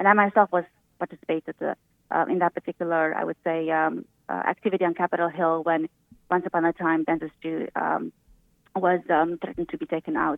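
A woman's fairly low voice in a Romanian accent, monotone and flat in intonation at a fairly quick pace. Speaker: physician. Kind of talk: radio interview.

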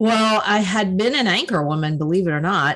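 In an American accent, a woman talks in an ordinary speaking voice with ordinary pitch variation. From US South. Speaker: author and caregiver. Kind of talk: casual interview chat.

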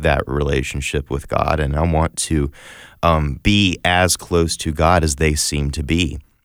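In a very deep, low pitch with vocal fry, a man speaks at a fairly slow pace. His intonation is fairly even, and the recording is very clean with a silent background. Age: 20s. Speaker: faith radio host. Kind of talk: casual chat.

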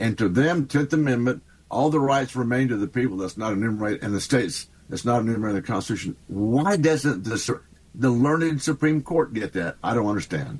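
A man's medium-pitched voice with a Texan accent, fairly quick and lively in intonation, on a very clean recording with a silent background. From Texas. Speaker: congressman. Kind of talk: radio interview.

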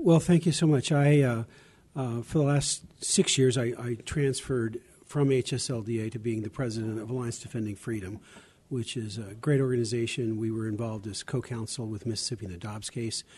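With an American accent, a man speaks fairly quickly at a medium pitch, his dark, mellow tone somewhat breathy and his pitch variation ordinary. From US South, Arkansas. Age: 70s. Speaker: lawyer and religious liberty advocate. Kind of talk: interview. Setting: convention broadcast.

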